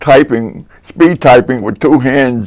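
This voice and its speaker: This man speaks with a New Jersey accent and a medium pitch. His pitch variation is ordinary. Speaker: local elder recalling history. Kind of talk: interview.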